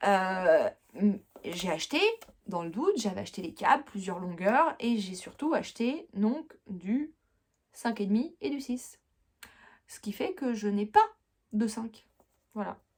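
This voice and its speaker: Somewhat breathy and fairly high-pitched, a woman speaks at a very slow pace with long, frequent pauses and lively intonation. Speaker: knitting podcaster. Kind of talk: casual chat. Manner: hesitant fillers.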